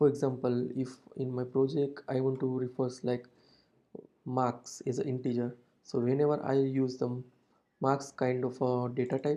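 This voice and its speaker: A man with an Indian accent speaks at a moderate pace and medium pitch. His tone is dark and mellow, with monotone, flat intonation. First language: Hindi. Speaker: programming tutor. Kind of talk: tutorial. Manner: hesitant with frequent uh fillers.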